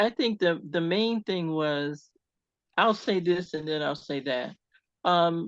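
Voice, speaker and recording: A woman with a very deep, low pitch and an American accent speaks at a moderate pace. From US Midwest, Cleveland. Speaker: retired IT program manager and entrepreneur. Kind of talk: interview.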